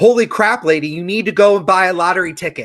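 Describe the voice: A put-on character voice at middle pitch, delivered at a very fast pace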